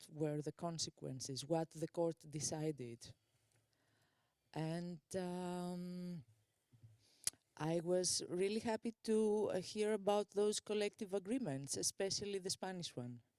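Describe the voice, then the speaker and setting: A very slow, dark and mellow voice with a dry, close sound and no echo. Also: woman. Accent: non-native. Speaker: conference audience member asking questions. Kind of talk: audience question at conference. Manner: halting, many fillers and restarts.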